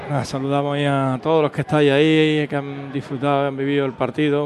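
Noticeable background noise sits behind a man whose voice is fairly high. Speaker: radio co-commentator. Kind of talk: casual football co-commentary. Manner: chatty, halting with repeated words.

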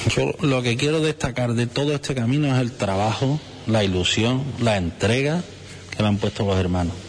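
Medium-pitched male voice at a moderate pace, with lively intonation, very even loudness and noticeable background noise. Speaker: brotherhood head. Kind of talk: interview.

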